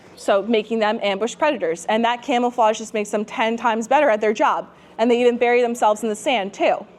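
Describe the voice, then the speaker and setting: The speaker has an American accent and talks at a very fast pace with ordinary pitch variation. Noticeable background noise can be heard. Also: woman. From New Jersey. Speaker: fishing instructor. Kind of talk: seminar lecture. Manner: casual, chatty.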